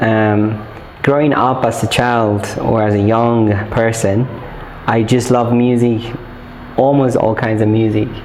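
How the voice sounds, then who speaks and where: A man with a medium pitch speaks fairly slowly in a monotone, flat delivery at very even loudness, leaving long, frequent pauses. Audible room echo and noticeable background noise fill the recording. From northern Nigeria (Bauchi, Zaria). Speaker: songwriter and music producer. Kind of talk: interview. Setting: studio.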